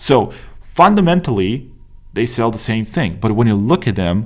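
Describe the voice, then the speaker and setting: Here is a man with a Romanian accent. He speaks at a moderate pace and a medium pitch. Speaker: business coach. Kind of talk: tutorial. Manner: casual, many fillers.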